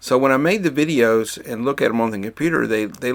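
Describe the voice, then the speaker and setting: The recording is very clean with a silent background. A man talks at a medium pitch and moderate pace, his pitch varying in an ordinary way. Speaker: boat cruising vlogger. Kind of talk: casual vlog narration. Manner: mumbling. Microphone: new microphone.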